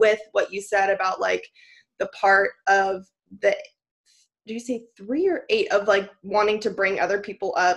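A woman of medium pitch at a moderate pace, with long, frequent pauses. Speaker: podcast co-host, business owner. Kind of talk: casual chat.

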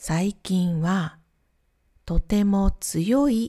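Medium-pitched woman, somewhat breathy, dark and mellow in tone, lively intonation, very clean recording with a silent background. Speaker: Japanese language teacher. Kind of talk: simplified lesson podcast for learners. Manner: slow, simple phrasing.

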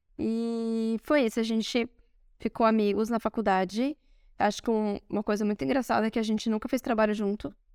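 A woman's ordinary speaking voice, fairly high in pitch with ordinary pitch variation, at a fairly quick pace, on a very clean recording with a silent background and a dry, close sound with no echo. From Brazil. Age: 30s. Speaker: podcast co-host. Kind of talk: casual chat. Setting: recording in Rome.

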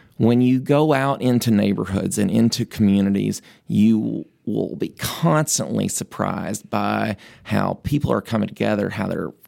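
A man with a Tennessee accent at a moderate pace. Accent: Southern US (Tennessee). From rural West Tennessee. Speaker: mayoral candidate, lawyer and state legislator. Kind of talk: interview.

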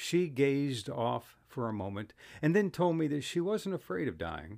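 In a very clean recording with a silent background, a man with an American accent speaks at a moderate pace and medium pitch, his pitch swinging very widely. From Ohio. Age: 70s. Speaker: storyteller. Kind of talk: scripted narration.

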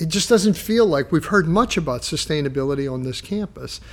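Pitch swings very widely in this man's speech. His voice sits fairly high. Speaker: podcast co-host, university health professions administrator. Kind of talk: casual interview conversation.

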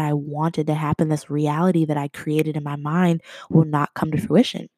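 A woman with a very deep, low pitch talks in an animated tone at a moderate pace, the sound dry and close with no echo. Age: 20s. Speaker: podcast host. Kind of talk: casual monologue.

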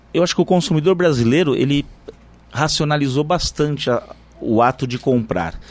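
With normal rise and fall, a male voice sits at a fairly high pitch. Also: moderate pace. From interior of São Paulo state, Brazil (Irapuru). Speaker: supermarket franchise owner. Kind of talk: radio interview. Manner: halting, with frequent repetitions.

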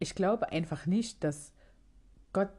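Somewhat breathy, dark and mellow speech, fairly slow, with ordinary pitch variation against a quiet background. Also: woman. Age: 30s. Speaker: podcast host. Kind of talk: casual monologue. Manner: halting.

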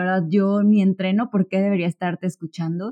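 The woman has a fairly low pitch and a fairly even intonation. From Mexico, Córdoba, Veracruz. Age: 20s. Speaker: podcast host. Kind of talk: solo podcast monologue. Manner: hesitant, many fillers.

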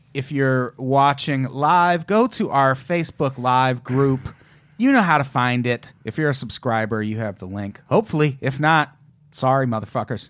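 A man speaks in a normal speaking voice. His pitch is medium with ordinary variation, and his pace is moderate. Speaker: podcast host. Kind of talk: casual comedic banter.

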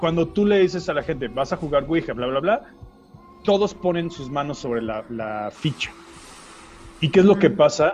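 Music plays behind a man with a fairly high pitch and lively intonation. He talks at a moderate pace with long, frequent pauses and big swings in loudness. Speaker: podcast co-host. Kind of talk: casual chat.

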